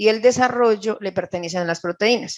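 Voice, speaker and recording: In a Colombian paisa accent, a woman talks at a moderate pace with lively intonation. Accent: Colombian Paisa (Caldas) Spanish. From Colombia, Caldas. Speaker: nutritionist. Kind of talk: lecture.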